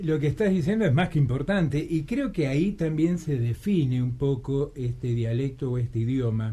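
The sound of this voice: A man talks at a moderate pace with a medium pitch and a dark, mellow tone. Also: ordinary pitch variation.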